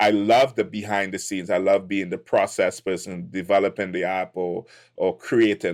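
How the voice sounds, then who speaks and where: This man has a fairly low pitch and speaks in a Trinidadian accent. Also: very clean recording, silent background. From Trinidad and Tobago. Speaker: tech entrepreneur. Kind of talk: podcast interview.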